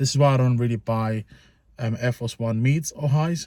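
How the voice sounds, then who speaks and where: A man talks with ordinary pitch variation and a somewhat breathy voice, recorded with a dry, close sound and no echo. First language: not English. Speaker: sneaker reviewer. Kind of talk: product review. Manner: casual, informal; halting with fillers.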